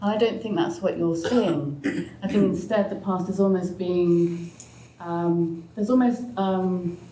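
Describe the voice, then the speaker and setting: A woman with a southern English accent talks at a fairly slow pace, with audible room echo and noticeable background noise. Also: medium pitch for a woman, ordinary pitch variation. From England (Oxford). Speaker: sociologist and author. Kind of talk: panel discussion.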